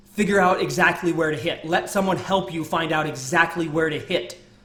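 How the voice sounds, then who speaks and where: An energetic man's voice with audible room echo. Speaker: ecommerce speaker. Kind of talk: presentation to audience; sales pitch. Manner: fast.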